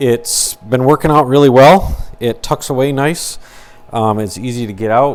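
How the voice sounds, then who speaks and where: A man in a normal speaking voice, at a fairly slow pace, with ordinary pitch variation. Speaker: woodworking youtuber. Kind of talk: product review. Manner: casual, many fillers.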